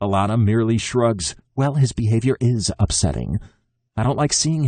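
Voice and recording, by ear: A quiet background behind natural-voiced reading aloud, pitch varying in an ordinary way.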